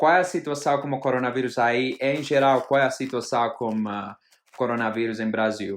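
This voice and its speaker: A man with a non-native accent at a moderate pace, medium in pitch with ordinary pitch variation. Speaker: interviewer. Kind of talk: interview. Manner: halting.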